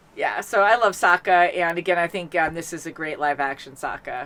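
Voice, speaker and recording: A woman's loud, bright, sharp voice, fairly low in pitch, with ordinary pitch variation at a moderate pace. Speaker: reaction channel host. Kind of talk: casual chat. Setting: home studio. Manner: animated.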